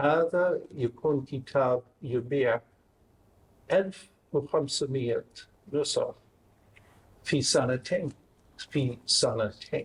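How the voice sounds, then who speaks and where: With a slight Maghrebi accent, a man speaks at a very slow pace, his loudness very even and his delivery broken by long, frequent pauses. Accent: non-native Arabic with slight Maghrebi. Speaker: academic researcher. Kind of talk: academic talk.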